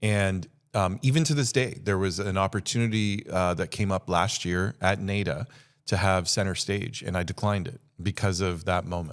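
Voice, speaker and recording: A man's fairly low-pitched voice with ordinary pitch variation, in a very clean recording with a silent background. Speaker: podcast guest, business speaker. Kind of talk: casual interview chat. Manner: fast.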